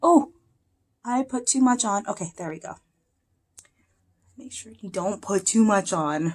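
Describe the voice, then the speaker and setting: At a fairly slow pace, a woman with a medium pitch and a somewhat breathy sound speaks with lively intonation, big swings in loudness and long, frequent pauses. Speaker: beauty vlogger and performer. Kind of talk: makeup tutorial.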